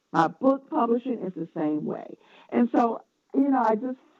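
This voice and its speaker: In a Southern accent, the speaker talks at a fairly slow pace with vocal fry and very wide pitch swings. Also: woman. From US South, North Carolina. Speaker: educator, publisher and podcaster. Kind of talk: interview.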